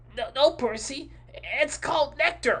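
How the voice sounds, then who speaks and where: Put-on character voice at a fairly slow pace over light background noise. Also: man, extremely high pitch for a man. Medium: read story. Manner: hesitant, filler-heavy.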